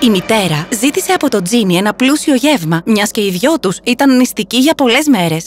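A woman speaks at a fairly high pitch. Her intonation is lively.

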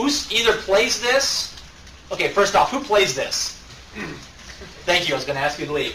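Amid light background noise and audible room echo, a man speaks at a moderate pace with lively intonation. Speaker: conference presenter. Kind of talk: lecture. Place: meeting room. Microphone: camera far.

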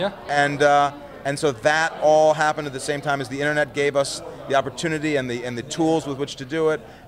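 The voice runs at a very fast pace with monotone, flat intonation, and there is light background noise. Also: man. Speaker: interviewee. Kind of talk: interview answer. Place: hall. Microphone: handheld.

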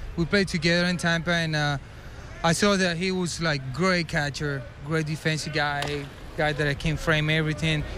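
A man talks at a moderate pace with fairly high pitch and a monotone, flat intonation. His loudness stays very even, and there is noticeable background noise. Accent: Spanish. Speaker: baseball player. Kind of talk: casual interview. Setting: baseball dugout. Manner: halting, filler words.

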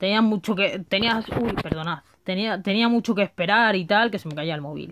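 A woman speaks at a moderate pace and a medium pitch, with ordinary pitch variation. Noticeable background noise is present. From Madrid, Spain; Spain. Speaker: gaming YouTuber. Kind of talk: casual video monologue. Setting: home recording on a phone. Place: home room. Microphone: phone near.

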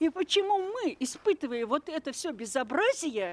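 This woman's voice is high-pitched and swings widely in pitch. She talks at a moderate pace.

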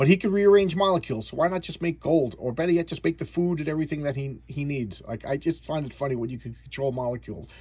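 Somewhat breathy and fairly high-pitched, a man talks at a very fast pace with ordinary pitch variation. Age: 50s. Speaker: comic book reviewer. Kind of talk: casual monologue review. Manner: stammering, repeats words.

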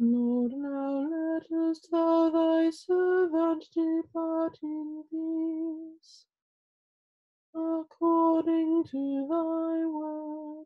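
A woman's extremely high voice at a very slow pace, over a quiet background. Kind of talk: liturgical reading. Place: home room. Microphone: webcam.

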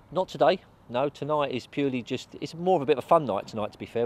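In a dry sound with no echo, a man talks at a very fast pace with ordinary pitch variation. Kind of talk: interview answer. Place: open country.

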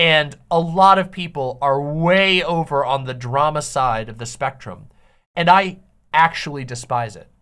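The speech moves at a fairly slow pace with big swings in loudness. The background is quiet. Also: woman, very deep, low pitch for a woman, lively intonation. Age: 30s. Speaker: online streamer and video commentator. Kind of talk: casual solo commentary to viewers. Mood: earnest, critical of drama. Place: home room.

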